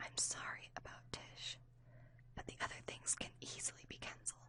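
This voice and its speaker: A woman whispering at a moderate pace. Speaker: ASMR audiobook reader. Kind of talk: ASMR audiobook reading. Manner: whispered, soft.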